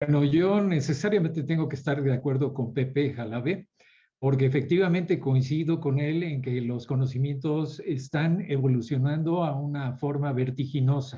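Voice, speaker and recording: With a dark, mellow tone, a man speaks in a fairly high, somewhat breathy voice and fairly even intonation. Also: moderate pace. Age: 70s. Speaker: architect and professor. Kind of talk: panel discussion.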